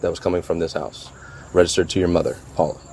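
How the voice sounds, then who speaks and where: A man talks while background noise is noticeable throughout. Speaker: sheriff's detective. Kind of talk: police interview.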